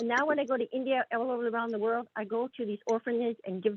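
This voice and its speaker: A woman is speaking. Her pace is very fast. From East Indian background. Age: 60s. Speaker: blind audience member in Q&A. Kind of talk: audience Q&A conversation. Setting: video call. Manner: halting, repetitive.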